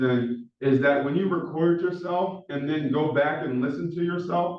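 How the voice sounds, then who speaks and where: In a fairly high pitch, a man talks at a moderate pace with fairly even intonation. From Philadelphia, US. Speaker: professor. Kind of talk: lecture. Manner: monotone.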